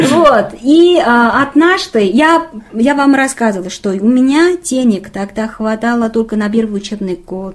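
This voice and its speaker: A woman with a Chinese accent speaks in a fairly high voice with lively intonation. Noticeable background noise can be heard. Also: fairly slow pace. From northern China, Qiqihar. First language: Chinese (speaking Russian). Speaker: assistant film director. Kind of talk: casual interview. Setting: makeshift studio. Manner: halting, many fillers.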